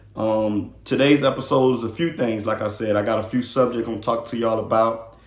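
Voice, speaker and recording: A man with an American accent, medium pitch, fairly even intonation and a fairly quick pace, with audible room echo. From Miami, Florida (Carol City). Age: 30s. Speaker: podcast host. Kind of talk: casual monologue.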